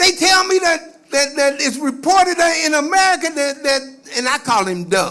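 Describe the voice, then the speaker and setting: Raised and projected, a man's extremely high voice comes through noticeable background noise at a moderate pace, animated in tone with lively intonation. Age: 70s. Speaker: activist speaker. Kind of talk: speech to audience. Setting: stage with audience. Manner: repetitive stammering.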